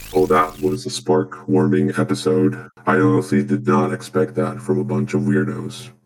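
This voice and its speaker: A man with a very deep, low pitch at a moderate pace, slight echo. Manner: sarcastic, dry.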